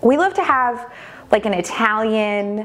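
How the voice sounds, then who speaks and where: Faint music plays in the background. A woman speaks at a fairly slow pace. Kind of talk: cooking tutorial. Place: kitchen. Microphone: lapel.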